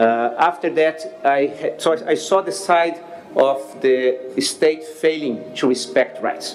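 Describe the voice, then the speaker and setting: With music in the background, a man with a Brazilian accent speaks at a very slow pace, his fairly high pitch showing ordinary variation. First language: Portuguese. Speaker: NGO leader. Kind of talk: speech at public discussion. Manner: hesitant, many fillers.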